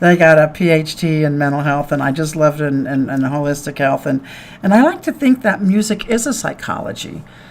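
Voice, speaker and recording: A woman with a very deep, low pitch talks fairly quickly with lively intonation. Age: 60s. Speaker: radio host. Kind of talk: radio interview. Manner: animated.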